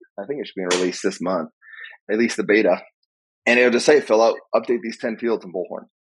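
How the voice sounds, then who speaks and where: Though his pace is very fast, a man with a medium pitch and ordinary pitch variation leaves long, frequent pauses. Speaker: AI software executive. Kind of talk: podcast interview. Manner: mumbling.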